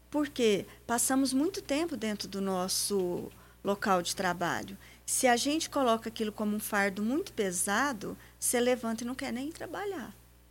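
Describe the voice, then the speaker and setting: With a normal speaking voice, a woman talks at a moderate pace and a fairly high pitch, her intonation lively. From Paraná, Brazil. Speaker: businesswoman and accountant. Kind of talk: radio interview. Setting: radio studio.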